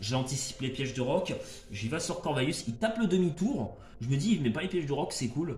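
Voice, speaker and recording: A man with a fairly high voice talks at a fairly quick pace, with noticeable background noise and audible room echo. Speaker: gaming YouTuber. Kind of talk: gameplay commentary. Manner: loud; hesitant, many fillers. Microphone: no microphone, speaks loud.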